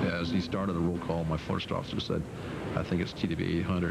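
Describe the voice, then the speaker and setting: Very fast, flat, monotone speech over noticeable background noise. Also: man. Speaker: airline pilot. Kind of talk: interview answer.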